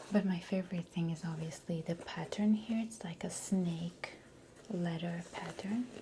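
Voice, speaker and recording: A soft-spoken woman talks at a fairly low pitch with ordinary pitch variation. Noticeable background noise runs behind her. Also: fairly slow pace. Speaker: ASMR artist. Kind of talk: ASMR roleplay personal stylist session. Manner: soft-spoken, slow.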